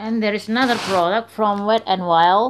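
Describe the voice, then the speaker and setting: Pitch moving in an ordinary way, a woman talks at a moderate speed. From Indonesia. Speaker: beauty vlogger; beauty reviewer. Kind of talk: product review; casual product review. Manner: halting. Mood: enthusiastic. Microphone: phone near.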